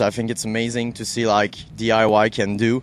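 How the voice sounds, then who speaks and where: With a French-Canadian accent, a man talks at a fairly quick pace and medium pitch. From Quebec. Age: 30s. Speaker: radio host. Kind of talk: interview.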